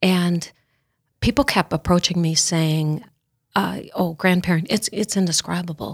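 A woman with an ordinary speaking voice talks at a fairly slow pace and a fairly low pitch, with ordinary pitch variation and very even loudness, in a dry, close sound with no echo on a very clean recording with a silent background. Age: 60s. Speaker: mother and grandmother. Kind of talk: casual chat.

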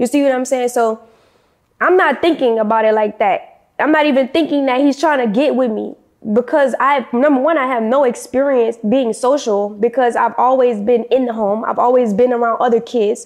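A woman speaks at a high pitch and a moderate pace, with ordinary pitch variation. The background is quiet. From New Orleans, Louisiana. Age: 20s. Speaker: former cult member. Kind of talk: interview testimony.

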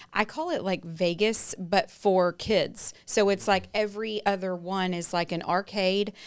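A woman with a Texan accent speaks at medium pitch with hardly any pauses. The recording is very clean, with a silent background. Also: ordinary pitch variation, fairly slow pace. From East Texas. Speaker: home warranty representative. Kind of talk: casual chat.

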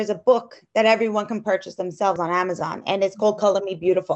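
A woman talks at a fairly quick pace with an unremarkable speaking voice. Her pitch is medium. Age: 40s. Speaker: hairstylist. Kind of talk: interview.

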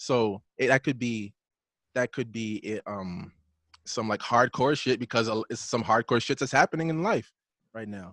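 In an ordinary speaking voice, a man with an American accent talks at a moderate pace and medium pitch, with ordinary pitch variation and a dry, close sound with no echo. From New York, Brooklyn. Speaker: music producer and drummer. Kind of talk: casual chat. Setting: video call.

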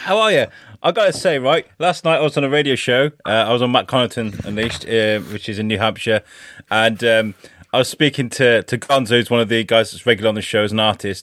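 Speaking with an English accent, a man goes at a very fast pace. His pitch is medium, with ordinary variation. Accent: English accent, between posh and common. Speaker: podcast guest. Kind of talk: casual chat. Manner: animated.

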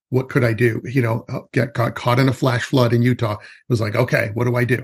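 The man's voice sits at a medium pitch. It sounds somewhat breathy. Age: 50s. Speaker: forest school educator. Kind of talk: casual chat.

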